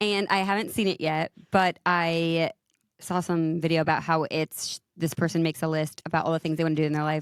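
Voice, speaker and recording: The voice comes at a fairly quick pace with monotone, flat intonation and very even loudness. The recording is very clean with a silent background and a dry, close sound with no echo. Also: woman, fairly low pitch for a woman. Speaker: podcast co-host. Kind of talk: casual chat.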